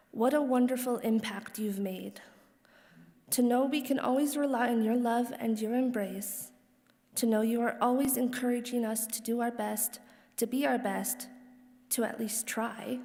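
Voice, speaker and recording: A woman speaks at a high pitch and a moderate pace in a dark, mellow tone. Her intonation is monotone and flat, with audible room echo. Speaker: daughter of the deceased giving eulogy. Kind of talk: reading aloud a personal letter at a funeral. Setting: funeral service hall. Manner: quiet.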